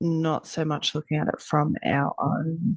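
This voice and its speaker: The speaker has an Australian accent. The sound is dry and close, with no echo. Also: woman. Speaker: energy healer. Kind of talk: casual talk to camera. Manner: hesitant, many fillers.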